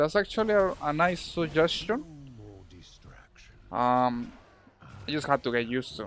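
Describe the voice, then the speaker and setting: Using very wide pitch swings, a man with a Spanish accent talks at a moderate pace with long, frequent pauses. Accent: Spanish accent, noticeable. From Colombia. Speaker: video game streamer. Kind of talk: casual live-stream chat while gaming. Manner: halting, with fillers and repetitions.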